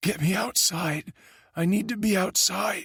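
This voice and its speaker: Putting on a raspy character voice at a high pitch, a man talks at a fairly slow pace, the sound dry and close with no echo. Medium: read story.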